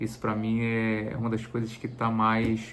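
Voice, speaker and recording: Audible room echo surrounds a man speaking in a medium pitch. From Bahia, Brazil (Salvador area). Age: 40s. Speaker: travel vlogger. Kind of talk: casual vlog introduction. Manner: halting, many fillers and repeated words.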